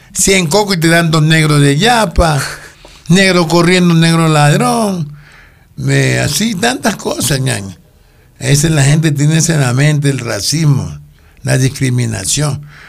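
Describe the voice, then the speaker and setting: In a room with audible echo, a man with a fairly high pitch talks at a fairly slow pace, holding very even loudness and ordinary pitch variation. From Ecuador, Guayaquil. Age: 60s. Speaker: actor, retired former police officer. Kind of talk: casual interview.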